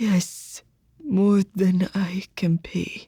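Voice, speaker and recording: A female-sounding voice whispers in a put-on character voice. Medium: read story.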